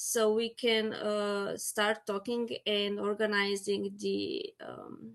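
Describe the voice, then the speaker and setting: A woman speaks. She has a Slovenian accent. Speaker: apitherapy educator. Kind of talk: panel discussion. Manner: halting.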